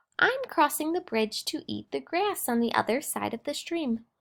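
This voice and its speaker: A woman puts on a character voice, talking at a moderate pace with a high pitch. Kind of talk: bedtime story. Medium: read story.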